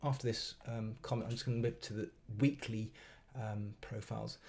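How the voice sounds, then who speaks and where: Ordinary pitch variation runs through this speech. The voice has a somewhat breathy edge. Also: man. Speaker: trading educator streaming live. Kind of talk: live trading stream commentary. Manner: halting, many fillers and repetitions.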